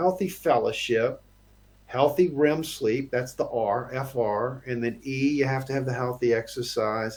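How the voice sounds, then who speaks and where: Somewhat breathy and fairly high-pitched, a man talks at a fairly slow pace with ordinary pitch variation. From United States. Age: 50s. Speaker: financial professional. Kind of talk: interview. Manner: halting, many fillers and repeats.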